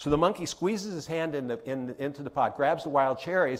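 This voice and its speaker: A man's fairly high voice at a fairly quick pace, with lively intonation. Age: 60s. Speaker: keynote speaker and author. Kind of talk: keynote speech. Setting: conference stage with audience. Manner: fast.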